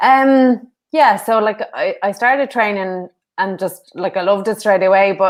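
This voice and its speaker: A woman speaks with ordinary pitch variation in a very clean recording with a silent background. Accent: northwest Irish. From Ireland, Sligo. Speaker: former kickboxer and karate athlete. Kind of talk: interview. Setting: podcast.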